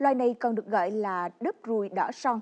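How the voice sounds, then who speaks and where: A woman with a dark, mellow tone talks at a fairly quick pace. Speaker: news anchor. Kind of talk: news reading. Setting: studio. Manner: formal. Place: studio. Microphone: lapel.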